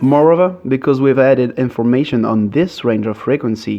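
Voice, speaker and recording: Over music in the background, a man with a non-native accent speaks at a moderate pace, medium pitch and ordinary pitch variation. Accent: non-native English speaker. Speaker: music producer, mashup maker. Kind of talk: software tutorial narration. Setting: poor-quality home microphone.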